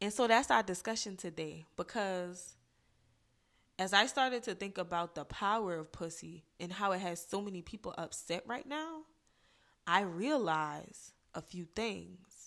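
Here a woman with an American accent speaks at a fairly slow pace and a medium pitch, her tone animated. Her intonation is lively, and the recording is very clean with a silent background. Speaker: podcast host. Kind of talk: casual opinion monologue. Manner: animated, informal, sassy.

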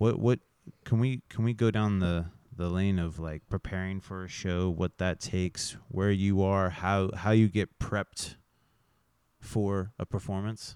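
With an American accent, a man speaks at a fairly slow pace in a very deep, low pitch, recorded very cleanly with a silent background and a dry, close sound with no echo. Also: fairly even intonation. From Kansas. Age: 30s. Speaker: podcast host. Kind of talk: casual interview. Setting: in-person recording in a building above a venue.

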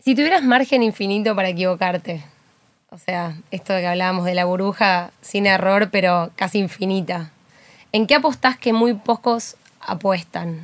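In an ordinary speaking voice, a woman talks at medium pitch and a moderate pace, her loudness swinging widely while her pitch varies ordinarily. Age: young. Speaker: podcast host. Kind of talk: personal monologue; casual interview chat. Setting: studio.

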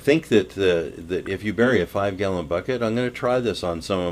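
Pitch variation is ordinary as a man talks with an American accent. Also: very clean recording, silent background. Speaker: radio garden show co-host. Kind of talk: casual radio chat. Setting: studio.

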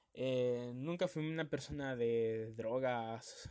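The speaker is a man. He has a Honduran accent. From Honduras, Tegucigalpa. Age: 20s. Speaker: podcast host, DJ and journalism student. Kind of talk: personal testimony podcast.

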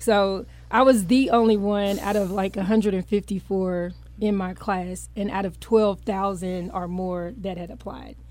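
Speaking at a very slow pace, a woman holds a medium pitch and fairly even intonation, though her loudness swings widely. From Louisville, Kentucky. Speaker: lawyer and judicial candidate. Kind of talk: interview testimony.

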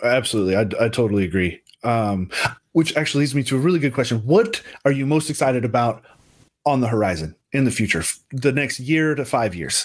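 A man speaks in a normal speaking voice at a medium pitch. His pace is fairly quick and his intonation lively. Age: 30s. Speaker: webinar host. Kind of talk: casual interview chat. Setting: video call.

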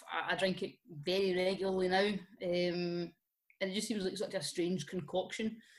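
A woman speaks in a normal speaking voice at a medium pitch and moderate pace. Her loudness is very even and her intonation fairly even. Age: 30s. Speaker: drinks social media creator. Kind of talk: casual chat.

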